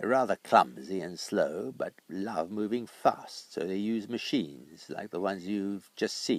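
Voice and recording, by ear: This is reading aloud in a natural voice.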